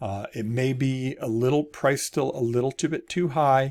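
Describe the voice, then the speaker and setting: On a very clean recording with a silent background, a man speaks at medium pitch in a normal speaking voice with ordinary pitch variation. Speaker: real estate agent. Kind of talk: market update video. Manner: casual with fillers.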